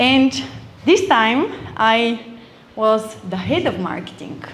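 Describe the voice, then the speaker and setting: A woman speaks at a moderate pace with an Eastern European accent. The room echo is audible and the background noise noticeable. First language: Eastern European language. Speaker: event speaker. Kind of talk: motivational talk.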